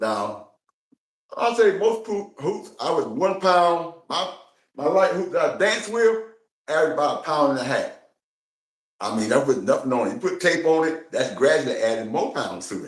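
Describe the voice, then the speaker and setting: Audible room echo surrounds a man's high voice at a moderate pace. His pitch swings very widely, broken by long, frequent pauses. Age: 60s. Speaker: hula hoop enthusiast. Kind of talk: interview. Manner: casual, conversational.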